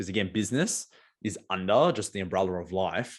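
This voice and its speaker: With an Australian accent, a man talks with ordinary pitch variation, on a very clean recording with a silent background. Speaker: marketing agency owner and poet. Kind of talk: podcast interview. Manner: many filler words and restarts.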